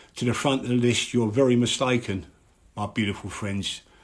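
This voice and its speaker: Against a quiet background, a man talks at a moderate pace. He has a Cockney accent and a medium pitch. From London, East End (Mile End). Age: 50s. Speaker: live streamer on addiction. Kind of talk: live stream monologue. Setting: live social media stream. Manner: animated.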